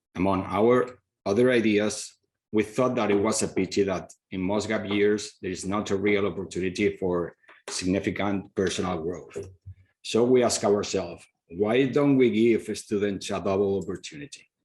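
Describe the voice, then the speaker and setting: A man's fairly low voice with a Spanish accent, fairly even intonation and a moderate pace. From Spain. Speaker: school founder, former professor. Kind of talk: presentation.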